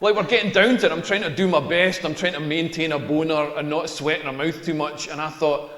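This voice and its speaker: Talking at a very fast pace with a Scottish accent, a man is heard over noticeable background noise, with audible echo from the room. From rural Scotland. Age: 40s. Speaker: stand-up comedian. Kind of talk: stand-up. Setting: stage with audience.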